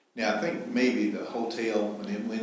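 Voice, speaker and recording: A man with a fairly low pitch talks at a fairly slow pace and with fairly even intonation, his voice carrying audible room echo. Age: 70s. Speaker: property owner giving public comment. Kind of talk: public comment at meeting. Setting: public meeting at podium. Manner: halting.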